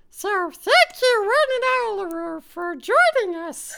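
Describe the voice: A squeaky, put-on character voice at an extremely high pitch and fairly slow pace.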